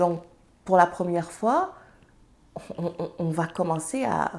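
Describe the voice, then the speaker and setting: A woman speaks with a Senegalese accent at a fairly slow pace. Her pitch is fairly low, with ordinary variation. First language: Serer (speaking French). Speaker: entrepreneur and mother. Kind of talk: interview conversation.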